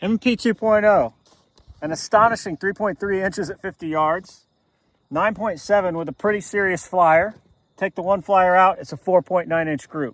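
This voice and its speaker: A man's high-pitched voice with ordinary pitch variation, dry and close with no echo, on a very clean recording with a silent background. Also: moderate pace. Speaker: pistol shooting channel host. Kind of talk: casual video commentary at a shooting range. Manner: halting, many fillers; loud.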